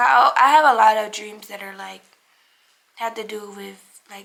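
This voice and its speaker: In an ordinary speaking voice, a woman with an American accent keeps a moderate pace and fairly even intonation. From Cincinnati, Ohio, US Midwest. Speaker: lifestyle vlogger. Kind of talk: casual Q&A chat to camera. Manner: casual, filler-heavy with many likes and ums.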